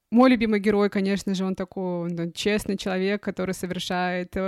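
A woman speaks in a normal speaking voice at a medium pitch, her intonation fairly even. The sound is dry and close with no echo, and the very clean recording has a silent background. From Russian Far East, Khabarovsk. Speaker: podcast host. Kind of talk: casual chat.

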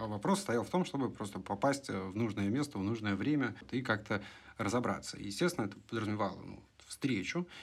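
A man with an ordinary speaking voice talks at a fairly quick pace, with a fairly low pitch, lively intonation and big swings in loudness. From Russia. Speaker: podcast co-host. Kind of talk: casual chat.

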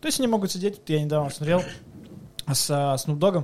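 A man's ordinary speaking voice, fairly high in pitch, with ordinary pitch variation. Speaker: podcast host. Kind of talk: casual chat.

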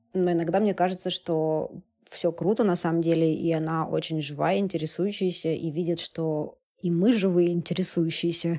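Dark and mellow in tone, a woman's fairly low voice moves at a moderate pace with fairly even intonation. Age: 30s. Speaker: media publisher and entrepreneur. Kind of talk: casual interview chat.

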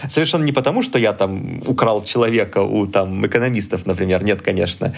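This man has an ordinary speaking voice, talking at a moderate pace with ordinary pitch variation. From southern Russia, Rostov region. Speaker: computer science lecturer. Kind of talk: casual interview.

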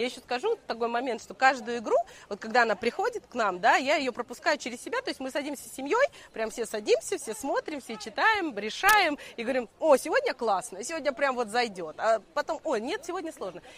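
A woman with a high voice talks at a fairly quick pace, her pitch swinging very widely. Noticeable background noise runs under her speech. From Russia, Moscow. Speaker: financier and quiz organizer. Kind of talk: casual talk at a live event. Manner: halting, many fillers.

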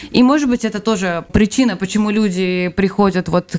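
This woman talks at a fairly quick pace with ordinary pitch variation. It is a normal speaking voice. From Belarus. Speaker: emigrant, guest's wife. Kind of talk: casual interview.

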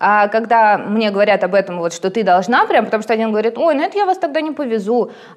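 At a very fast pace with hardly any pauses, a woman with a fairly high pitch speaks over noticeable background noise. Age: 30s. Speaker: tattoo artist. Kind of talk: casual chat.

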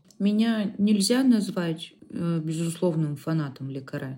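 A woman with a fairly low pitch speaks at a very slow pace, with ordinary pitch variation. Her tone is dark, mellow and somewhat breathy. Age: 30s. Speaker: podcast co-host. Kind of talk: casual chat.

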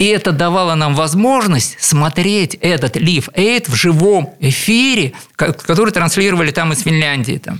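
This man speaks at a moderate pace with a high pitch and lively intonation. Noticeable background noise runs underneath. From Leningrad, Russia. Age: 60s. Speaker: composer and keyboardist. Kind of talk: radio interview. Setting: radio studio.

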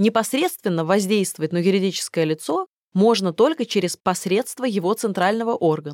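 An unremarkable speaking voice moves at a moderate pace with ordinary pitch variation, in a dry, close sound with no echo. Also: woman, medium pitch for a woman, very even loudness. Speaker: audiobook narrator. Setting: studio.

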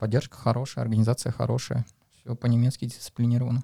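This man talks at a fairly quick pace in a monotone, flat intonation, his medium-pitched voice somewhat breathy and dark and mellow in tone, with a dry, close sound and no echo. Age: 30s. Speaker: amateur marathon runner. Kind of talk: casual chat.

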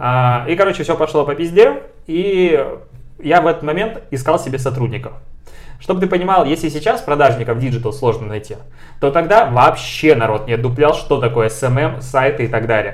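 The intonation here is lively, at a moderate pace. It is an ordinary speaking voice. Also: man, fairly high pitch for a man. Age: 20s. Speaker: podcast co-host. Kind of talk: casual chat.

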